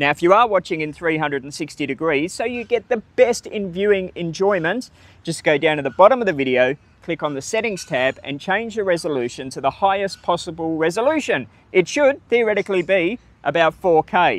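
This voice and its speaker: At a moderate pace, a man talks in a high pitch with lively intonation, the sound dry with no echo. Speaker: travel vlogger. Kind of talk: casual vlog chat. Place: open country.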